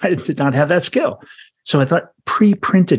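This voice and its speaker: A somewhat breathy man talks at a fairly slow pace with lively intonation. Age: 50s. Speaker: podcast host. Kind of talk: interview.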